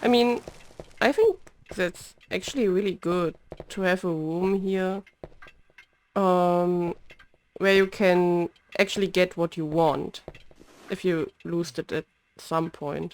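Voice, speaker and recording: Quiet and very slow, a woman with a German accent talks in fairly even intonation, leaving long, frequent pauses. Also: medium pitch for a woman. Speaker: vtuber gamer. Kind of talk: let's play commentary. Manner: halting, many repeats.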